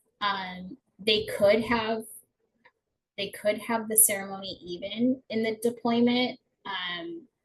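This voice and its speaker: A woman with a fairly high pitch, somewhat breathy, at a very slow pace with long, frequent pauses and ordinary pitch variation. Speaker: family support program director presenting to spouses. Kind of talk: informational webinar presentation. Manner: hesitant, many fillers.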